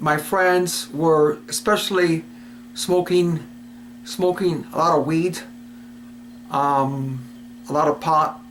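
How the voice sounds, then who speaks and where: Lively, high-pitched male speech at a fairly slow pace over noticeable background noise. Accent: American. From Cuba and US Virgin Islands. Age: 60s. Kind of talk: personal testimony. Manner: casual, hesitant with fillers.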